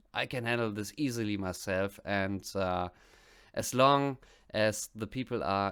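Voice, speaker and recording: A man with a German accent speaks with lively intonation. The recording is very clean, with a silent background. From West Germany. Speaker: music reaction youtuber. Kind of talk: casual vlog monologue.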